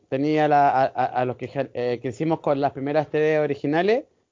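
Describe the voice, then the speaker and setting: Using fairly even intonation, a man speaks at a fairly high pitch in a Chilean accent. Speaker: film fan guest. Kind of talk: casual chat.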